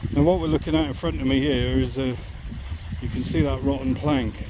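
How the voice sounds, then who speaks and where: A man with a very deep, low pitch makes very wide pitch swings in a dry sound with no echo, over noticeable background noise. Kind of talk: casual vlog commentary. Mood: mildly disappointed, then curious. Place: waterside. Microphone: phone near.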